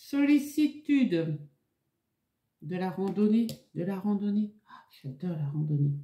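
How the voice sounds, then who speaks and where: With a medium pitch that swings very widely, a woman speaks very slowly in a dark, mellow, somewhat breathy tone, her volume shifting greatly and long pauses coming often. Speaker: tarot card reader. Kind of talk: tarot reading video. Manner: halting, stammers.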